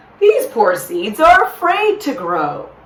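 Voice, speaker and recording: A woman's put-on character voice at an extremely high pitch, fairly slow in pace. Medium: read story. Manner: calm, patient.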